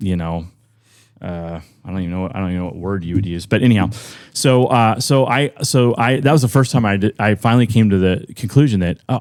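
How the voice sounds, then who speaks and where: Very fast speech from a man with a fairly low pitch and ordinary pitch variation. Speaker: loan officer and former musician. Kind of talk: podcast interview, casual storytelling. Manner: loud; halting, many fillers and restarts.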